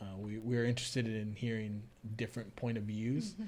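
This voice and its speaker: With a Spanish accent, a man talks in a medium pitch. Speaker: podcast co-host. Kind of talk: casual chat.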